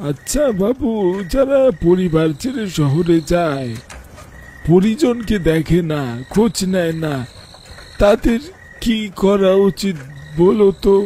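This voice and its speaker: In a husky, put-on character voice at a middle pitch, the speaker goes at a very slow pace over clear background noise. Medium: cartoon. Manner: slow, flat and eerie.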